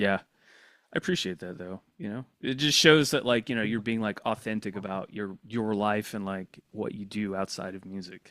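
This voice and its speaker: A man with a slight Southern US accent speaks at a moderate pace and fairly low pitch, with ordinary pitch variation and big swings in loudness. The sound is dry and close with no echo, on a very clean recording with a silent background. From US South. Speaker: podcast host. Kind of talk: casual podcast interview.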